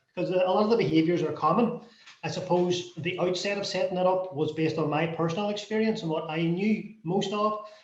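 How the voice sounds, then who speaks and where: The speaker has a Northern Irish accent and a fairly quick pace. Intonation is fairly even, and audible room echo is present. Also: man, high pitch for a man. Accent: Derry Northern Irish. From Derry, Northern Ireland. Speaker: non-profit founder. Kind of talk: panel discussion.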